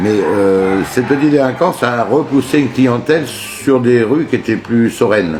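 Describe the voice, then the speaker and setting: Over music in the background, a man speaks at a fairly slow pace with lively intonation. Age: 60s. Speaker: shopkeeper, coffee roaster. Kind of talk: interview. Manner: halting, many hesitations.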